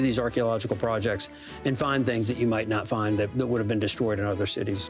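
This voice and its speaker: A man talks at a very fast pace with ordinary pitch variation while clear music plays in the background. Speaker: museum historian guide. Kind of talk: interview answer. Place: hall.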